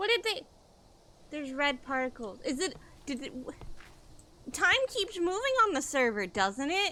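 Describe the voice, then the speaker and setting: A woman's raised, projected voice at a high pitch, over noticeable background noise. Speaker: gaming streamer. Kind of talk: live gameplay commentary. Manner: loud.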